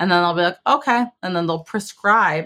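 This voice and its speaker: Fairly low in pitch, a woman with a plain, everyday voice speaks with lively intonation. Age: 30s. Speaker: Navy veteran and podcast host. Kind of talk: interview.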